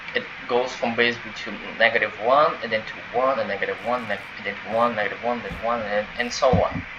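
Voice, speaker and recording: A man with a non-native accent talks at a fairly quick pace over noticeable background noise. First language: not English. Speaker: gaming tutorial creator. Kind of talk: tutorial. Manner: halting, many fillers and restarts; casual.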